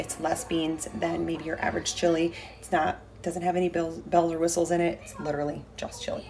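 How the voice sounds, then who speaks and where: Music plays in the background as a woman speaks. Her pitch is fairly low and her pace fairly quick. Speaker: fitness coach vlogger. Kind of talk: casual vlog chat. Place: kitchen. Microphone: phone near.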